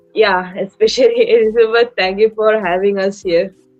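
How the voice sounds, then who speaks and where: With an Indian accent, a woman speaks at a fairly slow pace with fairly even intonation. Music plays in the background. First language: Indian language. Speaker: young app user. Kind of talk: live stream panel talk. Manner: halting, many fillers.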